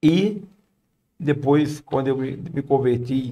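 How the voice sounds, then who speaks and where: With a northeastern Brazilian accent, a man speaks at a fairly high pitch in a dark, mellow tone with fairly even intonation. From Brazil, Paraíba backlands (Northeast). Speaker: missionary. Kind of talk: podcast interview, testimony.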